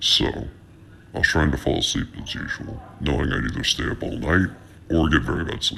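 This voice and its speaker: Speaking at a fairly quick pace, a man uses a put-on character voice with a very deep, low pitch over clear background noise. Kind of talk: creepypasta horror narration. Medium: read story. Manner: halting, repetitive.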